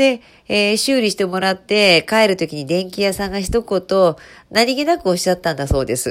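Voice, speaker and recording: Delivered at a moderate pace, the speech comes through in a very clean recording with a silent background. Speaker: HR radio host. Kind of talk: casual solo radio talk. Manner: casual, conversational with fillers.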